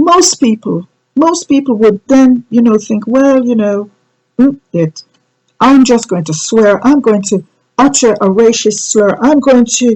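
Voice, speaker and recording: In a normal speaking voice, a woman talks at a fairly high pitch and fairly slow pace with lively intonation. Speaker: reverend, church host. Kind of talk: online church sermon.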